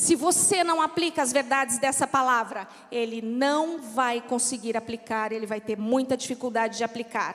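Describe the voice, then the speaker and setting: This woman has a high pitch and speaks in a São Paulo accent. Her pace is moderate. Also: ordinary pitch variation, hardly any pauses. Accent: São Paulo accent, noticed by locals. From São Paulo, Brazil. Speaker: pastor's wife, preacher. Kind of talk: sermon. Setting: church.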